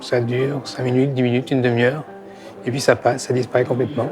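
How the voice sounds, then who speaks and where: With music in the background, a man speaks very fast at a medium pitch in a monotone, flat intonation. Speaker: person with Parkinson's. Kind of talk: testimony. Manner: soft-spoken, weak.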